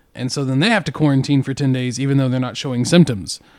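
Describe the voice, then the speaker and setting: Very fast speech comes from a man with a West Texas accent. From Texas Panhandle (Amarillo). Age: 40s. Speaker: podcast co-host, school educator. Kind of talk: casual chat.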